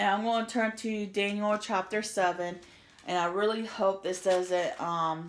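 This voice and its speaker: A woman speaks with a normal speaking voice. Her pace is fairly slow and her intonation fairly even. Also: medium pitch for a woman. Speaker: religious vlogger. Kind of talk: reading aloud; casual chat. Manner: urgent.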